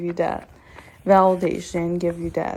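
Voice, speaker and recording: A woman talks at a fairly slow pace with a non-native accent. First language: not English. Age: 20s. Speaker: self-help vlogger. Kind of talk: motivational monologue to camera. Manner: animated.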